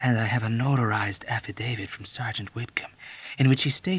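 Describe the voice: Someone does plain reading aloud. Their intonation is fairly even.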